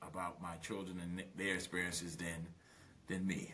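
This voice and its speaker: With an American accent, a man speaks in a very deep, low pitch with a bright, sharp tone and ordinary pitch variation. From Brooklyn, New York, West Indian roots. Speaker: business litigation lawyer. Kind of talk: podcast interview. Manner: animated.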